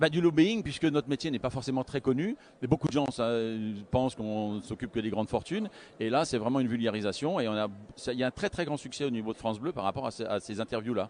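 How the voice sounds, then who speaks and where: A man with a medium pitch talks at a very fast pace. His intonation is lively. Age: 60s. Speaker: wealth management adviser. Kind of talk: interview. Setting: live broadcast at a conference. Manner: halting, many hesitations.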